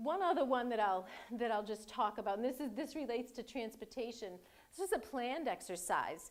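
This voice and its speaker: With a Boston accent, a woman speaks at a fairly high pitch. Her intonation is lively. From Boston area. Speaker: cybersecurity executive. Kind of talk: lecture. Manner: halting, many fillers and repeats.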